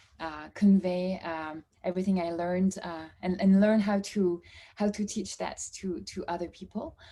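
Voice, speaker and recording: A woman with a strong French accent speaks at a moderate pace and medium pitch. Her tone is dark and mellow, with fairly even intonation. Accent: French, strong (own view). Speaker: course participant. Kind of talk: introduction in online class. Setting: video call. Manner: halting, many fillers and repeats.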